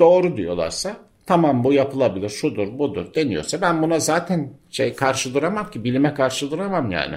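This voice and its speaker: A voice with vocal fry speaks at a moderate pace. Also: man. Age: 60s. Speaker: environmental journalist and local councillor. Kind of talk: radio interview. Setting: cooperative building near town square, open to outside sounds.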